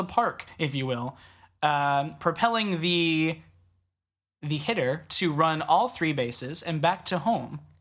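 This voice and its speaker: A woman with a very deep, low voice speaks at a fairly slow pace with ordinary pitch variation, in a very clean recording with a silent background. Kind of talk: casual quiz game banter. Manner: playful, hesitant, laughing.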